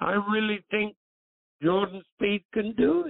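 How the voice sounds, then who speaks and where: This voice belongs to a man. His pitch is high. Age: 80s+. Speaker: golf broadcaster. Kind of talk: casual chat.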